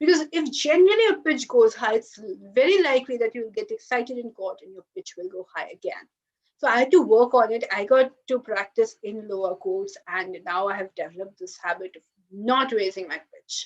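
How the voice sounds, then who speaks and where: A woman's high-pitched voice at a fairly quick pace, with very wide pitch swings and big swings in loudness. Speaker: lawyer. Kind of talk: webinar talk.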